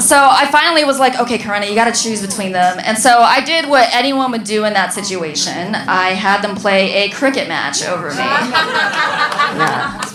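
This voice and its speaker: With lively intonation and a moderate pace, a woman talks amid noticeable background noise and audible room echo. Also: fairly high pitch for a woman, hardly any pauses. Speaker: comedian. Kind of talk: stand-up.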